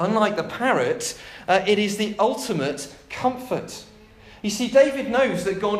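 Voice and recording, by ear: Someone reads aloud in a natural voice. Pitch moves up and down in an ordinary way.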